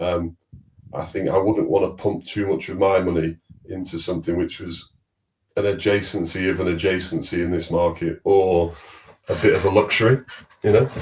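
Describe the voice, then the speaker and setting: In a slight Manchester accent, a man with a very deep, low voice talks at a fairly quick pace and sounds somewhat breathy. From northern England, Manchester. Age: 40s. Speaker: fintech executive. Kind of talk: podcast interview.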